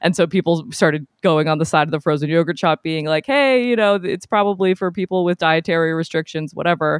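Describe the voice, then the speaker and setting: Here a woman talks at a very fast pace. Her pitch is fairly low. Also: ordinary pitch variation, hardly any pauses. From New England. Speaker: podcaster and videographer. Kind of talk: casual chat.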